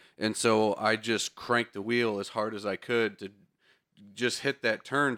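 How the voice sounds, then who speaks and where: The man's bright, sharp tone sits at a medium pitch, recorded very cleanly with a silent background and a dry, close sound with no echo. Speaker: podcast co-host, car enthusiast. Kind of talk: casual chat.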